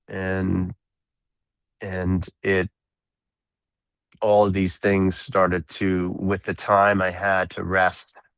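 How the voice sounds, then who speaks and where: The pace is very slow. The background is quiet. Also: man. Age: 60s. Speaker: drummer and composer. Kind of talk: interview. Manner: halting.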